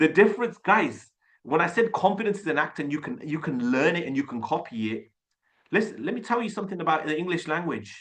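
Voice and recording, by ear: With big pitch swings and a fairly bright tone, a man talks at a fairly high pitch and a fairly quick pace.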